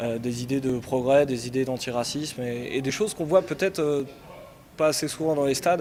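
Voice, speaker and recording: A man with a medium pitch talks very fast against noticeable background noise. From Yvelines, Paris region. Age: 30s. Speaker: football supporter, political activist. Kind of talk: interview. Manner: casual, hesitant with fillers.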